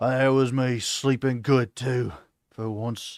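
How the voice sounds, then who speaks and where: In a put-on character voice, a man speaks gravelly and at medium pitch, at a fairly slow pace. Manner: complaining.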